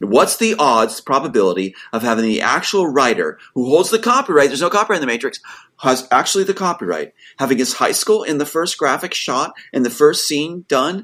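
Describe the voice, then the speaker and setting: At a fairly quick pace, a man speaks in a fairly high, bright, sharp voice with an animated tone, vocal fry and very wide pitch swings. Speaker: screenwriter. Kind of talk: interview. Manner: fast.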